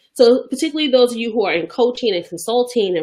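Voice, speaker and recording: Speaking in a Bronx accent at a fairly quick pace, a woman with a fairly high pitch makes very wide pitch swings against a quiet background. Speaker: business coach. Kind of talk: motivational business tip talk to camera. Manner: casual, conversational.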